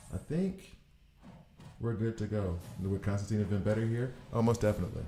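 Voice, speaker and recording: A man with a fairly low pitch and a dark, mellow tone speaks at a fairly quick pace, somewhat breathy, with fairly even intonation. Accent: American. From US South, Alabama. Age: 40s. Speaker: gaming streamer. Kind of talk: live gameplay commentary. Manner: casual, thinking aloud.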